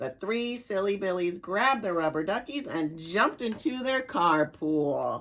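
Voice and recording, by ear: The voice reads aloud in a natural voice, with lively intonation.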